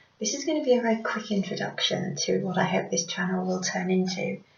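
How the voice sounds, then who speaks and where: The speaker is a woman at a moderate pace. Noticeable background noise runs underneath. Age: 40s. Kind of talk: casual talk to camera. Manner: hesitant.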